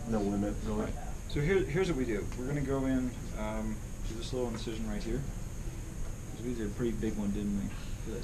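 A man rattles along at a very fast pace while noticeable background noise carries on. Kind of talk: conversation explaining a procedure. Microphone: camera far.

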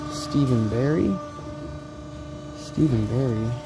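The speech goes at a fairly slow pace. Noticeable background noise sits under a dry sound with no echo. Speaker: vintage clothing reseller. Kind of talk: casual vlog chat. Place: shop. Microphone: phone near.

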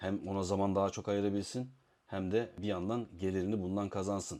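His voice is very deep, with a dark, mellow tone. The man speaks at a fairly quick pace. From Istanbul, Turkey. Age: 40s. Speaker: arm wrestling coach and YouTuber. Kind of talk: casual Q&A monologue.

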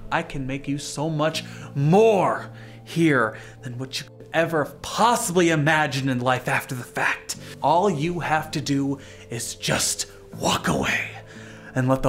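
With clear music playing in the background, someone performs a put-on character voice at a fairly slow pace. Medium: short film. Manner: persuasive, tempting.

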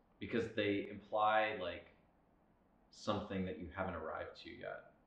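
A man's voice with audible room echo. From South Louisiana (Lafayette). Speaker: painter. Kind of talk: artist interview monologue. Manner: reflective, with frequent filler words.

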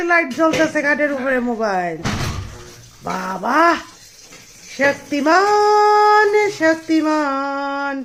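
A woman's high voice with very wide pitch swings, audible room echo and noticeable background noise. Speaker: vlogger. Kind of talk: vlog narration; casual family chat.

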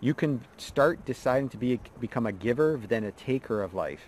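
Recorded dry with no echo and light background noise, a man speaks in a dark, mellow tone. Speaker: mindset coach. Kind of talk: motivational talk to camera. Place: forest. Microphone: phone near.

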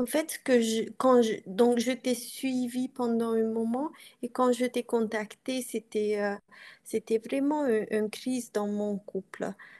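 With a Hungarian accent, a woman speaks very slowly in a dark, mellow tone, her intonation fairly even against a quiet background. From Transylvania, Romania (Hungarian community). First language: Hungarian (speaking French). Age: 40s. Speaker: coaching client. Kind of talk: interview. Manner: halting. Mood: reflective, personal. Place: home room. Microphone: video call.

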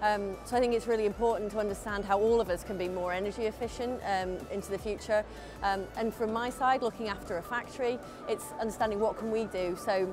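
Over clear background music, a woman talks at a very fast pace with fairly even intonation. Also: dry sound with no echo. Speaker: factory operations manager. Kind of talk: interview answer. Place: hall. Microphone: lapel.

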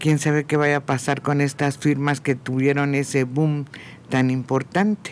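This man, with a Mexican accent, has a fairly high pitch and monotone, flat intonation. His loudness is very even, with light background noise. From Mexico. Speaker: radio panelist. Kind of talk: radio panel discussion. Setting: radio studio. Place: studio. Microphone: studio mic.

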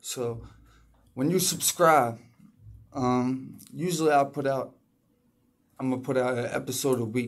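Against a quiet background, a man speaks at a fairly slow pace with fairly even intonation and long, frequent pauses. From Philadelphia, US. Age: 30s. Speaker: rapper and music producer; music producer podcaster. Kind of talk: casual podcast monologue. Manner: halting, many fillers. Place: home room. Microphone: phone near.

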